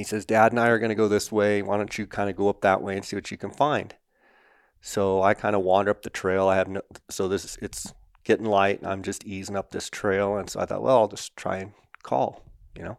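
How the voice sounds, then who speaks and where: In a very clean recording with a silent background, a man with an ordinary speaking voice talks at a fairly quick pace, his fairly low pitch carrying fairly even intonation in a dry, close sound with no echo. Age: 40s. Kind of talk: interview.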